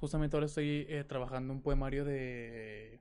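A man's fairly high voice against a quiet background. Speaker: podcast host. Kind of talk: casual chat. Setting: live stream.

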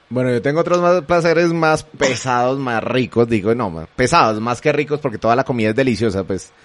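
A man's plain, everyday voice, medium in pitch, with lively intonation, a fairly quick pace and hardly any pauses. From Colombia. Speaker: radio host. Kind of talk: live panel discussion hosting. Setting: live streamed radio studio.

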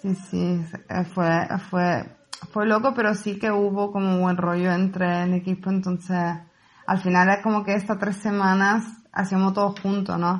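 A woman with an Italian accent, medium pitch, a fairly slow pace, monotone, flat intonation and very even loudness. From Italy, Palermo, Sicily. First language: Italian (speaking Spanish). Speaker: photographer and set designer. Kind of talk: casual interview.

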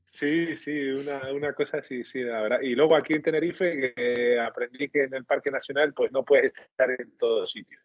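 Here is a normal speaking voice at a moderate pace with fairly even intonation. There are hardly any pauses. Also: man, fairly high pitch for a man. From Spain, Castilla y León. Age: 30s. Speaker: amateur astrophotographer. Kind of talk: casual interview.

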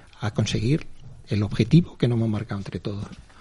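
Against noticeable background noise, a man's voice makes very wide pitch swings. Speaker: media executive. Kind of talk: radio interview.

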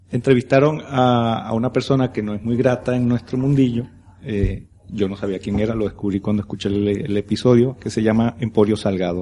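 A man with a dark, mellow tone speaks at a fairly quick pace and keeps his intonation fairly even. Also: medium pitch for a man. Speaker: podcaster. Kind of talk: casual panel chat. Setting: live event in a brewery.

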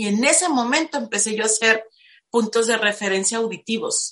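This is a woman with a fairly high pitch. Her tone is bright and sharp. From Mexico, Tijuana. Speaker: spiritual life coach. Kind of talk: interview testimony.

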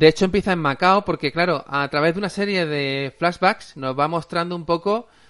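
A man's pitch sits fairly high with ordinary variation as he talks at a moderate pace in an unremarkable speaking voice. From Spain, Alicante province (Aspe). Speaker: podcast host. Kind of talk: casual chat.

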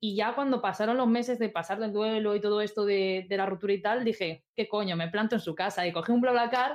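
A plain, everyday voice speaks at a fairly quick pace over a quiet background. The intonation stays fairly even. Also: woman. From Spain, Albacete province (rural). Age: 20s. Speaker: esports caster and video game artist. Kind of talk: casual chat.

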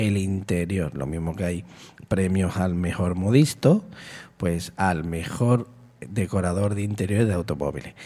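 A man's very deep, low pitch and dark, mellow tone, in a very clean recording with a silent background. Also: ordinary pitch variation, fairly slow pace. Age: 50s. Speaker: community radio host. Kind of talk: radio monologue. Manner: animated.

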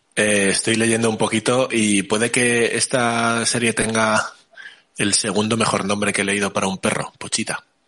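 Speaking at a moderate pace, a man holds a medium pitch in a monotone, flat intonation with very even loudness. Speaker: podcast host. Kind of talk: casual chat.

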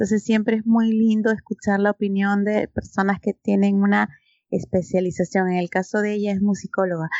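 The speech moves at a fairly quick pace in a monotone, flat intonation. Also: woman, medium pitch for a woman. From Peru. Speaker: podcast co-host. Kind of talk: casual chat.

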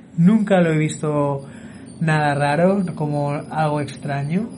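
A fairly high-pitched man's voice with audible room echo and noticeable background noise. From Barcelona, Spain. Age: young. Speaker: podcaster. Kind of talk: casual monologue.

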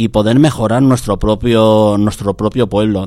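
A plain, everyday voice from a man, fairly low in pitch, with fairly even intonation and a fairly slow pace. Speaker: taxi dispatcher. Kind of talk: radio interview.

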